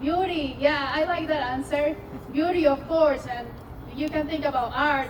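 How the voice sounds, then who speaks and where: A woman's high-pitched voice in a Peruvian accent, fairly even in intonation, with noticeable background noise and audible room echo. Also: moderate pace. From Peru, Amazon highlands. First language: Spanish. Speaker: scientist. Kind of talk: public science talk. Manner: interactive, engaging audience.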